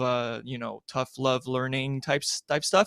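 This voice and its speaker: In a very clean, dry, close recording with a silent background and no echo, a man with a French accent speaks at a moderate pace in a fairly high voice. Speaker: sports journalist. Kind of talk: interview. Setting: live streamed show.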